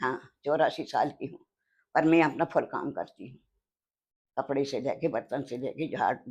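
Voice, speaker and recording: The speaker uses long, frequent pauses and fairly even intonation. Loudness swings widely. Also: woman, very deep, low pitch for a woman. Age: 80s+. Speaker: elderly homemaker interviewee. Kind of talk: interview, casual chat. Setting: kitchen.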